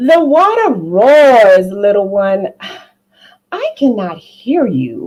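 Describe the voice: In a put-on character voice at a medium pitch, a woman speaks slowly with very wide pitch swings.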